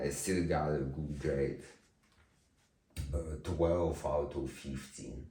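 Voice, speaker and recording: A man with a very deep, low pitch and a dark, mellow tone speaks very slowly, with vocal fry, fairly even intonation and long, frequent pauses, and room echo can be heard. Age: 20s. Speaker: vlogger. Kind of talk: personal monologue. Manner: slow speaking.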